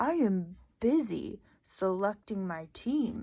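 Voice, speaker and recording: Spoken very slowly in a put-on character voice, this female-sounding voice sits at a medium pitch. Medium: read story. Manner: booming, boastful.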